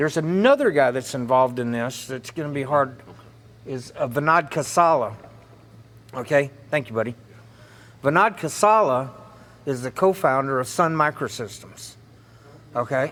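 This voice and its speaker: With a Southern US accent, a fairly high-pitched man keeps a moderate pace, ordinary pitch variation, and long, frequent pauses. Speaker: political speaker. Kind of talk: lecture. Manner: loud.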